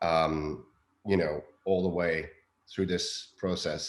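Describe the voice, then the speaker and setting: A man speaks with a non-native accent in a very deep, low pitch. His intonation is fairly even. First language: not English. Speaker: film director. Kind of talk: interview. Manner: halting, many fillers.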